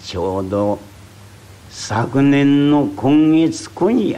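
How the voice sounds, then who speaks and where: The man's voice sits at a medium pitch. His pace is very slow. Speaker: rakugo storyteller. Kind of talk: traditional comic storytelling performance.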